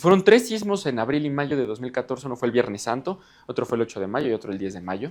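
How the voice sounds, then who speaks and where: Talking at a very fast pace, a man with a medium pitch makes very wide pitch swings. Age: 20s. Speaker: geophysics engineer and science communicator. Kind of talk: lecture. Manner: halting.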